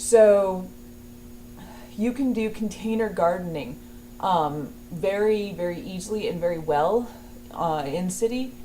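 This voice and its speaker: Noticeable background noise surrounds a woman speaking at a fairly slow pace. Her medium pitch carries lively intonation. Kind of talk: casual talk to camera.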